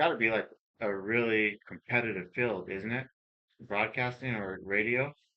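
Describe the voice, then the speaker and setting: Quiet overall, a man speaks at medium pitch with ordinary pitch variation. His loudness swings widely at a moderate pace. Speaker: podcast host. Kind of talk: casual chat.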